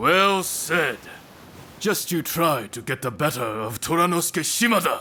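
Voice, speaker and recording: A man puts on a character voice pitched high, swinging very widely up and down at a moderate pace. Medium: video game. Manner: confident, challenging.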